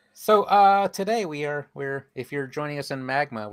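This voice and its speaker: A man with a fairly high pitch talks at a moderate pace with lively intonation, recorded very cleanly against a silent background. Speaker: stream co-host.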